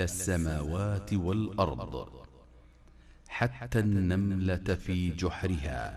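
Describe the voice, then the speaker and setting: Very slow and quiet, a man talks in a calm tone with a very deep, low pitch. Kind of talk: religious hadith reading. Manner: calm, quiet.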